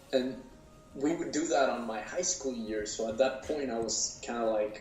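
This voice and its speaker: A man with a medium-pitched voice and ordinary pitch variation talks at a moderate pace, with noticeable background noise and audible room echo. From Mexico City. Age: 30s. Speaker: actor and producer. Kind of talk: interview. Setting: podcast. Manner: halting, with many fillers and repeats.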